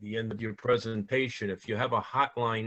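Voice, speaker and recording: A man with a New York accent speaks at a moderate pace in a medium-pitched, flat monotone. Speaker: auxiliary flotilla member. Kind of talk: Q&A after a presentation.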